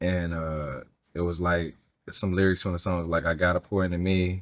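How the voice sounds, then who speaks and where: A man's very deep, low voice with an American accent, at a moderate pace with fairly even intonation, on a very clean recording with a silent background. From US South, Mississippi (Hollandale). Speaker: singer, R&B and Southern soul artist. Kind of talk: casual interview chat. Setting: bar, hotel venue in LA.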